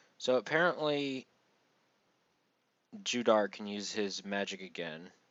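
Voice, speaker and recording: The man has a fairly low pitch and lively intonation. He speaks at a fairly slow pace. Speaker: manga reviewer. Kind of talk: casual commentary review. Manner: many fillers (um, uh, you know).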